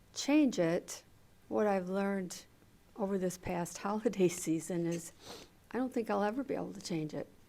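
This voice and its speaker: A woman speaks softly in a dark, mellow tone. Her pitch varies in an ordinary way. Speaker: audience member. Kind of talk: Q&A comment. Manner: soft-spoken.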